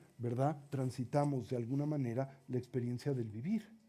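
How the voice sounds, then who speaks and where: A man speaks in a fairly high voice with a dark, mellow tone. His pace is moderate. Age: 60s. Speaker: Buddhist teacher. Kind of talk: lecture.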